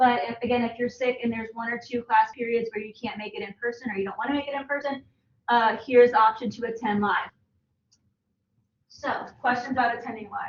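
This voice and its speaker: A woman talks at a fairly quick pace with a high pitch and fairly even intonation. Her loudness swings widely. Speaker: college statistics instructor. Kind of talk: lecture. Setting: classroom. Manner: fast; casual.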